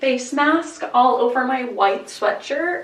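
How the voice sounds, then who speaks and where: Noticeable background noise and audible room echo fill the recording. A woman with a fairly high pitch speaks at a very slow pace. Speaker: lifestyle vlogger. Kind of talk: casual vlog talk to camera.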